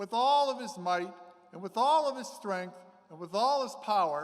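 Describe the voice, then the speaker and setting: With audible room echo around him, a man talks using lively intonation. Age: 60s. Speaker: priest. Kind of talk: sermon.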